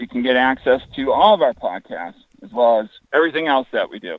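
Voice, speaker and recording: With a plain, everyday voice, this man talks at a fairly quick pace, his fairly high pitch carried by lively intonation. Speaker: fishing website founder. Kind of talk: casual interview. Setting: phone call while walking outdoors.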